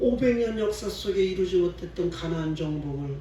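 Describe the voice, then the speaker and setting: Speaking at a fairly slow pace, a man is heard over noticeable background noise with audible room echo. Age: 60s. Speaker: pastor. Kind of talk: sermon.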